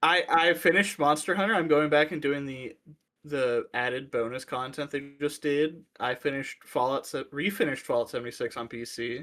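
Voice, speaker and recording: A fairly high-pitched man's voice, bright and sharp in tone, fairly quick, with ordinary pitch variation. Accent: American. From Ohio, US Midwest. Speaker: podcast co-host. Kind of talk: casual chat.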